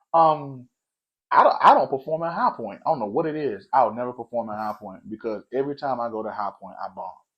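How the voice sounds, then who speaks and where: A man with an American accent talks fairly quickly at medium pitch, his tone animated. His pitch varies in an ordinary way while his loudness swings widely. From North Carolina. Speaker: comedian. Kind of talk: casual chat. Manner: fast.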